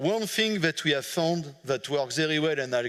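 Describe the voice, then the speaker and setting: A man talks with a French accent. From France. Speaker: management consultant. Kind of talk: conference talk. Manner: halting, many fillers.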